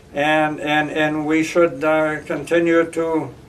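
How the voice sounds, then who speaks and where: With an American accent, a man speaks at a fairly high pitch, and audible room echo surrounds his voice. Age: 70s. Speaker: school board candidate. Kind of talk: interview. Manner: halting, many repetitions and fillers.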